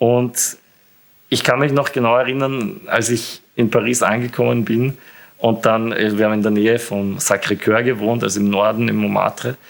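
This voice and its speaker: A man speaks at a medium pitch, moving at a moderate pace while his pitch varies in an ordinary way. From Austria, Burgenland. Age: 20s. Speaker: university student with muscle disease. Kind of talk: interview. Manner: hesitant with frequent fillers.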